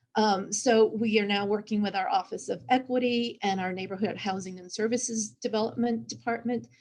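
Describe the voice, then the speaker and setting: The speaker has an American accent, a somewhat breathy voice and ordinary pitch variation. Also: woman. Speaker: cultural historian. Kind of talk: panel discussion.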